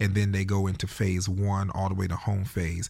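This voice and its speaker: A fairly low-pitched, somewhat breathy man with an American accent, fairly quick and fairly even in intonation, in a very clean recording with a silent background. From North Carolina. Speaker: youth ministry founder. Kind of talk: interview.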